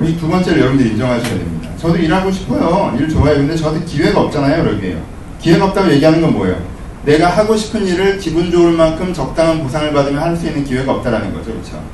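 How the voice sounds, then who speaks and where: A man talks at a very fast pace with a fairly high pitch and lively intonation. Audible room echo and noticeable background noise accompany him. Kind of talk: sermon. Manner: animated.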